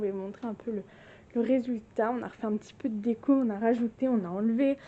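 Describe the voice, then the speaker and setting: This woman talks at a fairly quick pace in a fairly high pitch. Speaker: lifestyle vlogger. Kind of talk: casual home tour vlog. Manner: animated.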